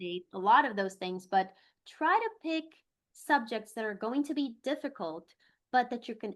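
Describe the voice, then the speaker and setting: Someone with a Brazilian accent talks at a moderate pace, with very wide pitch swings. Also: woman. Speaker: attorney. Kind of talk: interview.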